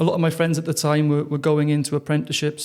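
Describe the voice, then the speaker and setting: In a Welsh accent, a man speaks with a fairly high pitch. His intonation stays monotone and flat. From South Wales. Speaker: mental fitness trainer. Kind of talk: interview. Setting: podcast.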